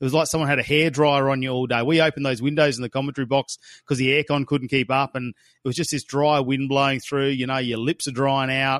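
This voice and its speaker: A man's fairly high voice with an Australian accent, very fast and flat in monotone, dry and close with no echo against a quiet background. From Australia, Darwin. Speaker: motorsport commentator. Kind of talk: casual review chat.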